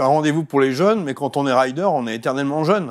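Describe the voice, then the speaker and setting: The recording is very clean with a silent background. A man with a fairly high pitch and a slight Savoyard accent speaks at a fairly quick pace with ordinary pitch variation. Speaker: TV host. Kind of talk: TV interview. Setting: studio.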